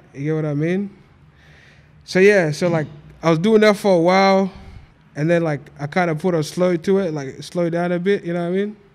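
Talking at a fairly quick pace yet with long, frequent pauses, a man uses a high pitch and fairly even intonation. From Australia. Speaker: media entrepreneur and event promoter. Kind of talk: casual chat. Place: studio. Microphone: studio mic.

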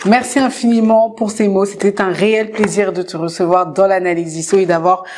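A woman speaks at a moderate pace and a medium pitch. Her pitch varies in an ordinary way. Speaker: interview show host. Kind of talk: interview. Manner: animated. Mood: warm, encouraging. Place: home room.

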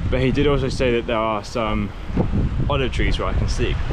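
A man talks at a very fast pace, the sound dry with no echo and loud background noise behind him. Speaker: cycle touring vlogger. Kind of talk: casual vlog chat. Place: bicycle. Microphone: phone near.

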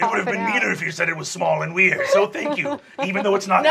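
Using a put-on character voice, a man talks at a very fast pace with a high pitch. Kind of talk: comic improv. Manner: menacing then flustered.

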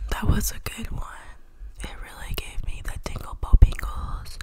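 A woman whispers at a fairly slow pace. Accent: American. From Atlanta, Georgia, USA. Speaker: YouTuber and ASMR vlogger. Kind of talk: ASMR trigger video. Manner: playful, quiet, exaggerated. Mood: playful, joking. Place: home room. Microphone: studio mic.

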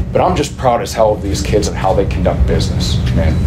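A man speaks at a very fast pace while music sounds behind him. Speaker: head football coach. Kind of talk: press conference answer. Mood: proud, emotional after a win. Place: meeting room. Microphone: podium.

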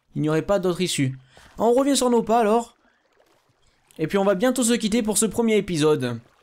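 The speaker talks at a fairly quick pace with very wide pitch swings and very even loudness. Long pauses come often. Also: man. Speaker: gaming YouTuber. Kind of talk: gameplay commentary. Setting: solo recording. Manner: hesitant.

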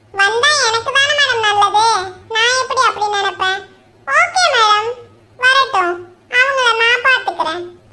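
In a cartoonish character voice of extremely high pitch, the speaker delivers lines at a fairly slow pace.

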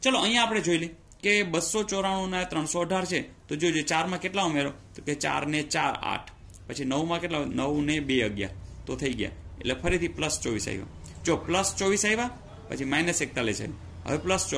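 Lively intonation carries a man's fairly high voice, which has a bright, sharp tone. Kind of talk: tutorial. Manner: conversational, repeats filler words.

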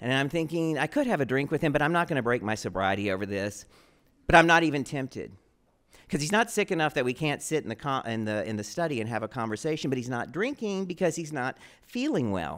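A man with an American accent talks at a very fast pace in a fairly high voice, his pitch swinging very widely against a quiet background. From Texas. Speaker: storyteller. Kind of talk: live storytelling performance. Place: stage. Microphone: handheld.

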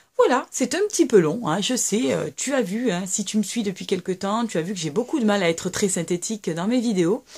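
A woman speaks with a somewhat breathy voice and lively intonation. The background is quiet. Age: 30s. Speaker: YouTuber, mother of three; YouTuber. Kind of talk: casual vlog monologue. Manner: hesitant, many fillers. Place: home room. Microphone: webcam.

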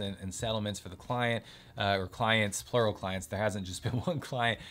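A normal speaking voice at a moderate pace, with fairly even intonation. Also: man. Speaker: lawyer. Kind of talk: casual educational talk to camera. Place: home room.

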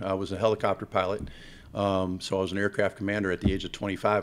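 Speaking at a very fast pace with an American accent, a man uses a fairly low pitch and a monotone, flat intonation. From Ohio, Cleveland area; Ohio. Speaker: football coach. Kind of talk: press conference. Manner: halting, with frequent repeated words. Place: hall. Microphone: podium.

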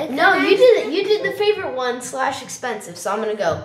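A woman's pitch swings very widely while noticeable background noise runs underneath. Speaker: podcast co-host asking the questions.

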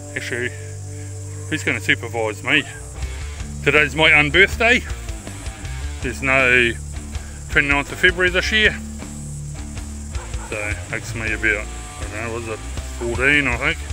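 Over clear background music, a man talks at a moderate pace with long, frequent pauses, the sound dry with no echo. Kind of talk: casual vlog chat. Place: open country. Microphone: phone near.

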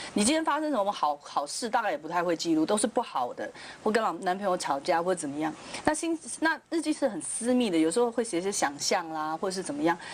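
Her pitch swinging very widely, a woman talks at a very fast pace over light background noise. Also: medium pitch for a woman. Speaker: TV talk show panelist. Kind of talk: TV panel discussion. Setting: studio. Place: studio. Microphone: lapel.

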